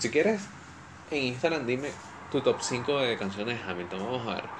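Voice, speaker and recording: Venezuelan accent over noticeable background noise. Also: man. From Venezuela (Caracas, raised in Valencia). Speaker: podcast host. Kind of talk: solo casual monologue. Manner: animated.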